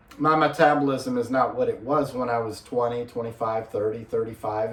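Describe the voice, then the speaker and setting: A man at medium pitch speaks at a moderate pace with fairly even intonation, in a room with audible echo and noticeable background noise. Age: 50s. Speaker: fitness vlogger. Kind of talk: casual video vlog. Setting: home gym in spare bedroom. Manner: casual, with filler words.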